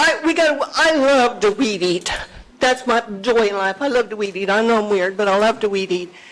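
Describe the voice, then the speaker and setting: A woman's fairly high, lively voice over noticeable background noise. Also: moderate pace, very even loudness. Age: 70s. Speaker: business owner speaking at public meeting. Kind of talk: public comment at county meeting.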